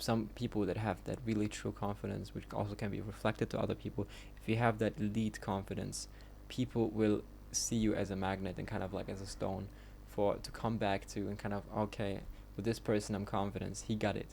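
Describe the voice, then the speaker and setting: A man talks with a German accent. His pace is fairly quick. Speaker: vlogger. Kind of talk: casual monologue. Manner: halting, many fillers; unscripted.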